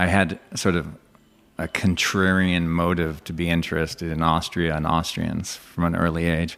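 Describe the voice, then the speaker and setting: A man with a West Coast accent, very deep and low in pitch, monotone and flat, at a moderate pace. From California. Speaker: English teacher and comedian. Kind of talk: podcast interview.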